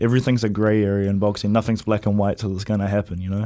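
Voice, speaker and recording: A man speaks with a New Zealand accent in a fairly low pitch and a monotone, flat intonation. The recording is very clean, with a silent background. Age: young. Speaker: professional boxer. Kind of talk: interview. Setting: studio.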